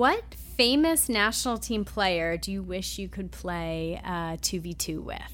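A woman with a slight Long Island accent, a fairly slow pace and big swings in loudness. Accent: Long Island New York, slight. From Long Island, New York. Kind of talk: interview, podcast intro.

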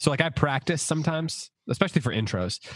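Vocal fry marks a man's voice as his pitch swings very widely. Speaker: podcast co-host. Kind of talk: casual chat. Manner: subdued enthusiasm.

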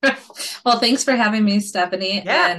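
At a moderate pace, a woman with a plain, everyday voice and an American accent speaks with ordinary pitch variation. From Minnesota. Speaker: potter and business owner. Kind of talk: casual interview.

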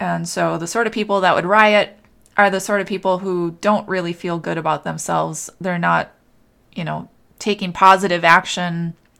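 This is a woman speaking at a moderate pace in an American accent. The recording is very clean, with a silent background. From Minnesota, US Midwest. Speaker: podcast host and life coach. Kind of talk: unscripted solo monologue.

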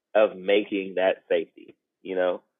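With an American accent, a man talks. His pace is fairly slow. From South Seattle. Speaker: rapper. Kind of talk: reflective conversation. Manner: halting.

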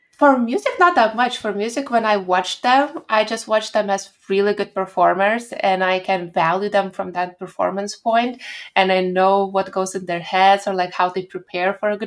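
A woman with a Lithuanian accent at a moderate pace, with ordinary pitch variation and hardly any pauses. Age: 20s. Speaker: pianist and poet. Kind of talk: interview.

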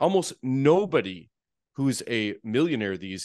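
A man with a North Dakota accent speaks at a fairly slow pace against a quiet background. His medium pitch moves through very wide swings. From North Dakota (Fargo). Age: 40s. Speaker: therapist and real estate investor. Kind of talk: podcast interview.

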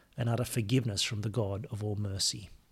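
A man's somewhat breathy voice with a warm tone, on a very clean recording with a silent background. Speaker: podcast host. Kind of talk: reading aloud prayers, casual intro. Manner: measured, reverent, slow in prayers; conversational, warm.

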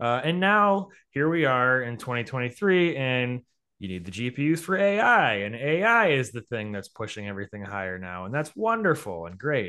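Bright, sharp tone from a man at medium pitch and moderate pace, with very wide pitch swings. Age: 30s. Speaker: investment writer. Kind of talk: casual chat.

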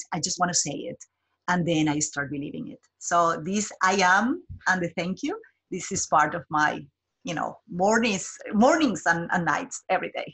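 The speaker has a Colombian accent and lively intonation. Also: woman, fairly low pitch for a woman, moderate pace. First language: Spanish. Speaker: job developer. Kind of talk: interview. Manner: halting.

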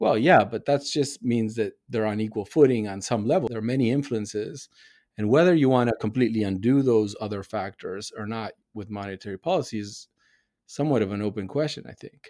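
A man speaks with a Spanish accent at a fairly quick pace. His medium-pitched voice shows ordinary pitch variation. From Argentina. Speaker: economics professor. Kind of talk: interview. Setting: video call.

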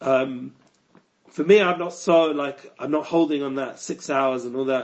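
A man with a London accent speaks at a fairly high pitch and a moderate pace. His pitch varies in an ordinary way. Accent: London English, Cockney-tinged. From North London, England. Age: 40s. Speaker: rabbi and online educator. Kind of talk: podcast interview.

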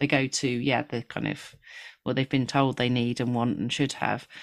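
A woman speaks at a moderate pace with vocal fry. The recording is very clean, with a silent background. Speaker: podcast co-host. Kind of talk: casual conversational interview. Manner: chatty, laughs often.

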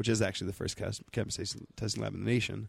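The man's pitch is fairly low, with vocal fry. His intonation is monotone and flat. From New Mexico. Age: 30s. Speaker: cannabis lab co-founder, Navy veteran. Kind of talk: casual interview. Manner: halting, many fillers.

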